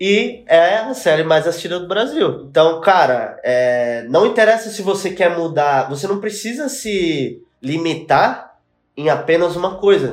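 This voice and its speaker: Music plays in the background as a man talks at a fairly slow pace. His pitch is high for a man. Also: lively intonation, hardly any pauses. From São Paulo east zone, Brazil. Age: 20s. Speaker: music video director. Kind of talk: casual chat.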